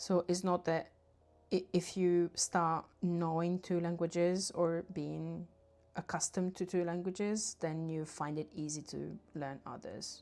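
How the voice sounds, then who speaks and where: The woman's tone is dark and mellow. Her intonation stays monotone and flat. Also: fairly low pitch for a woman, fairly slow pace, very clean recording, silent background. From southern Italy. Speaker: artist livestreamer. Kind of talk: casual livestream chat while painting.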